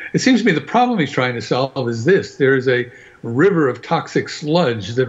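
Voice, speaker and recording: A man speaks in a somewhat breathy voice. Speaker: panelist. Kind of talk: casual panel discussion.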